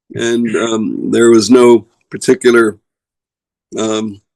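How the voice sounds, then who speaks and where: The recording is dry and close with no echo as a man speaks at medium pitch in a monotone, flat intonation. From USA, Russian émigré family. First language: Russian. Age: 70s. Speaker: former business executive and banker. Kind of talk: interview. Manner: halting, many repetitions.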